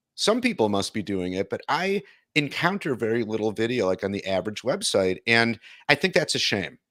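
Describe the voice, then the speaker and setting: An American accent from a man of medium pitch, lively in intonation, on a very clean recording with a silent background. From Detroit, US Midwest. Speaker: video content producer. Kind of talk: interview conversation.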